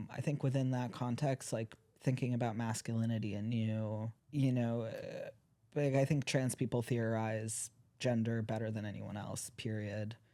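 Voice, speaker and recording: A man with an American accent speaks in a dark, mellow tone and a flat monotone, on a very clean recording with a silent background. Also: medium pitch for a man, moderate pace. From US, Washington DC area. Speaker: PhD student. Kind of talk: casual interview. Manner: halting, many fillers.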